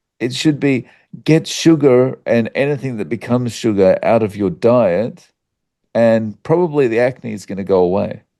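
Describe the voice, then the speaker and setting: An Australian accent and lively intonation mark this man's medium-pitched voice, which has a dark, mellow tone. The background is quiet. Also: moderate pace. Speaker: YouTuber on carnivore diet. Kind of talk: interview conversation. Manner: casual with many fillers.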